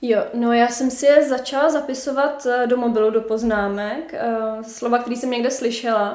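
A woman speaks at a high pitch and a moderate pace, with hardly any pauses. Her intonation is fairly even, and the room echo is audible. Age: young. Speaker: author and copywriter. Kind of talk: casual interview chat.

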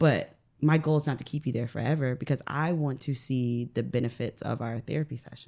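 A woman speaks in a very deep, low voice with a dark, mellow tone. Her intonation is fairly even and her pace fairly quick. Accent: American. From US Midwest, northern Ohio. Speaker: mental health therapist. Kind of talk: casual interview. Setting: studio.

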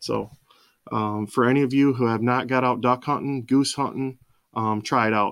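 This very clean recording has a silent background, with a man speaking at a medium pitch in an unremarkable speaking voice. He keeps a moderate pace and fairly even intonation. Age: 40s. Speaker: podcast host, hunter. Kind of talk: casual chat.

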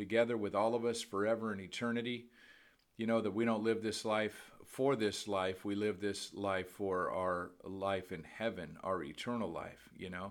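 At a moderate pace, a man talks with fairly even intonation at a fairly low pitch, with audible room echo. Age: 50s. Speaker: podcast preacher. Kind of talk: sermon. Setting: at home by a window. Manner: casual, filler-heavy.

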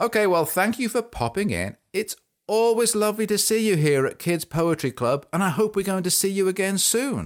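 A high-pitched man speaks with lively intonation in a very clean recording with a silent background. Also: moderate pace, very even loudness. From England. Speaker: children's podcast host. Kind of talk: children's poetry show. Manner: animated.

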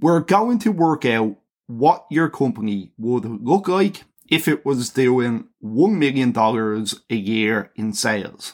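A man's very slow speech with very wide pitch swings. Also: medium pitch for a man. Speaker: podcast host. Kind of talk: solo podcast monologue.

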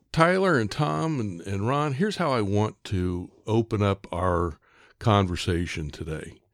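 At a fairly slow pace, a man speaks with a fairly low pitch. His pitch swings very widely. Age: 60s. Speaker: podcast host. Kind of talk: podcast discussion. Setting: studio.

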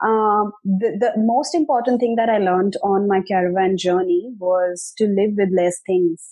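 Using an ordinary speaking voice, a woman talks at a fairly slow pace and medium pitch, with ordinary pitch variation. Her loudness stays very even, and she takes hardly any pauses. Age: 30s. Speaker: marketing coach and author. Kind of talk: interview. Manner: conversational with frequent fillers.

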